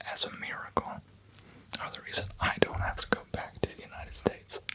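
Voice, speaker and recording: The voice is whispering with an American accent. Noticeable background noise is present. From American, lives in Denmark. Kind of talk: ASMR whispered rambling. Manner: whispered, soft-spoken.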